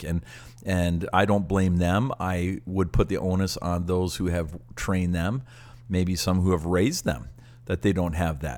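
The recording is very clean, with a silent background. The speaker has a Canadian accent. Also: man. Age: 60s. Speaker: pastor and podcast co-host. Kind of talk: casual chat.

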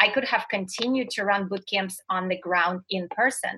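With fairly even intonation, a woman speaks at a moderate pace and a fairly high pitch. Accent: Russian. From Russia. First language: Russian. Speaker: motivational speaker and success coach. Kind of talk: interview.

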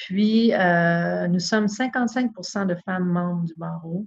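A woman talks with ordinary pitch variation in a somewhat breathy voice. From Quebec, Saguenay-Lac-Saint-Jean (Chicoutimi). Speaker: lawyer, bar president candidate. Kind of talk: interview. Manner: halting, many repetitions.

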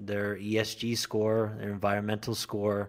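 Talking fairly slowly, this speaker has an American accent. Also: man. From southern Idaho. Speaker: co-founder of an industry advocacy group. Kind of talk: interview.

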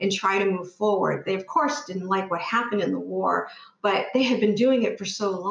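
A plain reading aloud with ordinary pitch variation.

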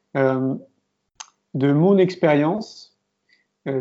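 A man with a fairly high pitch. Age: 40s. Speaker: filmmaker and entrepreneur. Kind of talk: interview.

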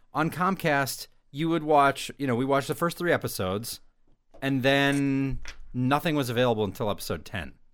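A normal speaking voice from a man at a fairly high pitch and moderate pace. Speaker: podcast host. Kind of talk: casual chat.

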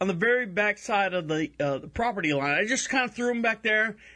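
Very wide pitch swings in a raised, projected male voice of bright, sharp tone. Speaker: internet radio host. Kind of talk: casual chat.

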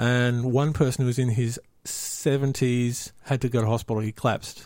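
Speaking at a moderate pace, a man with an Australian accent has a medium-pitched voice. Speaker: spider enthusiast guest. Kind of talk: casual chat. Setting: studio.

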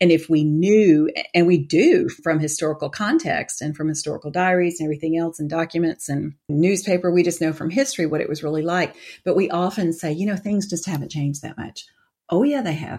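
A woman with a Southern US accent, fairly low in pitch, at a moderate pace. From US South, Atlanta. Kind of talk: interview.

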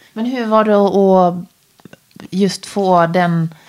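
A woman speaks with medium pitch. Her pitch varies in an ordinary way. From Dalarna, Sweden. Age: 40s. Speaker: podcast host. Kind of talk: interview. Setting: her kitchen.

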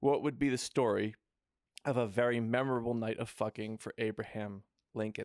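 In a very clean recording with a silent background and a dry, close sound with no echo, a man speaks at a medium pitch and moderate pace. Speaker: podcast host. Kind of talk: comedic banter, podcast. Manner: animated, comedic.

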